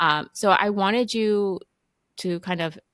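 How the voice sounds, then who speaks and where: A bright, sharp tone on a very clean recording against a silent background. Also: woman. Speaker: physician, podcast host. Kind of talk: podcast interview questions.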